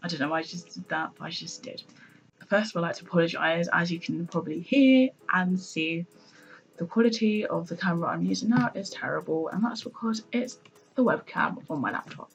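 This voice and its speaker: A woman with a British accent talks at a fairly quick pace and fairly low pitch. Her intonation is lively and her loudness swings widely. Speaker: student vlogger. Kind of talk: vlog monologue. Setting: in her room. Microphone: laptop mic, poor pickup.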